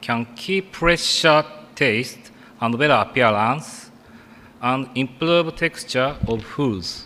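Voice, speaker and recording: At a very slow pace, a man with a Japanese accent speaks at medium pitch with lively intonation amid noticeable background noise. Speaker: food science researcher. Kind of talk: conference presentation. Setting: conference stage with audience. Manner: halting.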